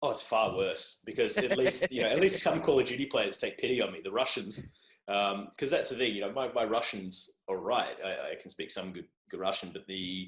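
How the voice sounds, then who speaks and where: A man with an Australian accent at a fairly quick pace, his loudness swinging widely. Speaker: journalist and podcaster. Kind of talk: casual chat. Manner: animated.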